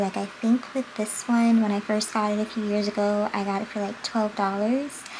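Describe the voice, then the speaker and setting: A soft-spoken woman talks at a moderate pace with a fairly high pitch. Her intonation is fairly even, and there is noticeable background noise. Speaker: beauty vlogger. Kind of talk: casual makeup vlog chat. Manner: projecting voice, volume goes in and out.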